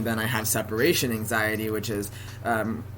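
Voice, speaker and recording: Noticeable background noise fills the clip. Through it, a man talks with an American accent. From San Francisco Bay Area. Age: 20s. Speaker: college student. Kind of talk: casual talk to camera.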